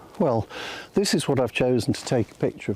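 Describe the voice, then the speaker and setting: Soft-spoken, a man talks in a British accent. His pitch sits in the medium range. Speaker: photography vlogger. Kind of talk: casual vlog narration. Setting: outdoors in woods. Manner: hesitant, filler words.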